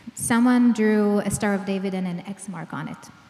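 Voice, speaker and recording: Noticeable background noise sits under the recording. A woman speaks with ordinary pitch variation. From Israel. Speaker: clinical psychologist, trauma expert. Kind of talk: public lecture.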